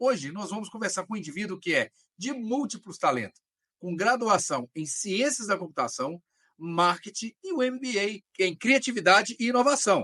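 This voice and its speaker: Raised and projected, a man's high voice carries a bright, sharp tone and lively intonation at a moderate pace, the sound dry and close with no echo. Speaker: podcast host. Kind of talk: podcast interview hosting.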